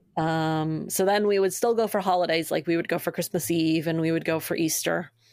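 With an American accent, this is an unremarkable speaking voice with ordinary pitch variation at a fairly quick pace. The recording is very clean, with a silent background. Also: woman. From Maine, US. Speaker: nonprofit staff member and co-founder. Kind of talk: casual interview.

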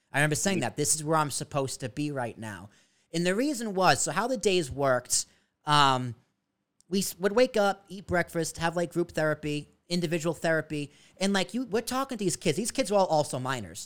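On a very clean recording with a silent background, a man with an American accent speaks fairly quickly at a fairly high pitch, his pitch swinging very widely. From Massachusetts, South Shore. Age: 20s. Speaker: video producer. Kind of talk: casual chat.

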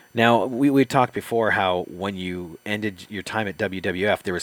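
Delivered at a fairly slow pace with ordinary pitch variation, a normal speaking voice comes through in a very clean recording with a silent background and a dry, close sound with no echo. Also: man. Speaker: co-host and interviewer. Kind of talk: casual interview chat, questioning.

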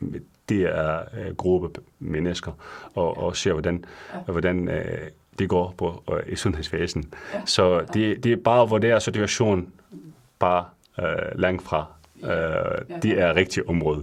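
A man with a non-native accent, a very deep, low pitch, fairly even intonation and a fairly slow pace marked by long, frequent pauses. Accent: non-native Danish. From Syria. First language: Arabic (speaking Danish). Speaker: pharmacist. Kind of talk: radio interview. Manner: halting, many fillers.

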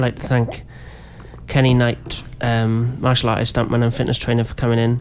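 A man's medium-pitched, monotone, flat delivery over noticeable background noise. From Wales. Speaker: jazz musician and podcast host. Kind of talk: comedic casual interview. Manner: halting, many fillers.

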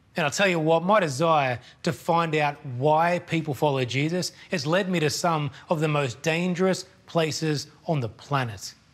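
An Australian accent from a man with a fairly high voice, ordinary pitch variation and a moderate pace. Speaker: missions charity speaker. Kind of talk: sermon. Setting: pre-recorded video.

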